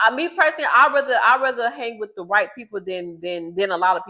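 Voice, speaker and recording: A woman speaks very fast at a fairly high pitch. Her intonation is lively. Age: 30s. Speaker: vlogger. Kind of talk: casual monologue to camera. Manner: loud; repetitive, stumbling restarts. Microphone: new microphone, unsure if working.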